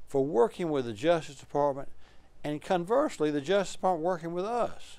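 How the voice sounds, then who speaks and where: In an Alabama accent, a man speaks at a fairly quick pace with very wide pitch swings. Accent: Southern US (Alabama). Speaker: political talk show host. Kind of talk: interview. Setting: studio. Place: studio. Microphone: lapel.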